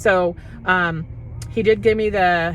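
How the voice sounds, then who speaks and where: Music can be heard behind the speaker. She is a woman with a fairly low voice. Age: 50s. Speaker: health product distributor. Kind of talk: testimony. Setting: in a parked car. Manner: fast; conversational, unscripted.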